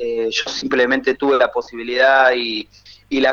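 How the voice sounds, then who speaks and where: With a Rioplatense accent, the man speaks with ordinary pitch variation. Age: 40s. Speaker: author. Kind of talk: interview. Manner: halting.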